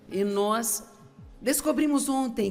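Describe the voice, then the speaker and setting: Music plays in the background as a woman speaks very slowly. Her pitch swings very widely. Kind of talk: sermon.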